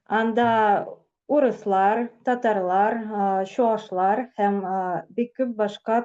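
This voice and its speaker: A woman with a Tatarstan accent speaks very slowly in a fairly high, dark and mellow voice with ordinary pitch variation against a quiet background. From Tatarstan, Russia. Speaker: blogger. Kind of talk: casual interview. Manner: halting, hesitant.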